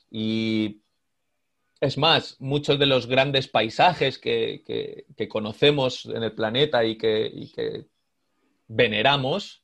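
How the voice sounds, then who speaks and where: A man talks at a very slow pace. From Spain, Madrid. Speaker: glaciologist, researcher. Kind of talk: interview, explanatory. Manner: halting, many fillers and repetitions.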